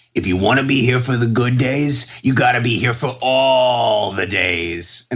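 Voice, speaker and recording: Put-on, raspy character voice from a man at medium pitch, delivered at a moderate pace. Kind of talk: trader's sign-off saying.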